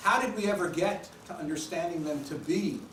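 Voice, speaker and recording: Noticeable background noise sits behind the voice. The pace is moderate. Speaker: professor. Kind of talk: lecture.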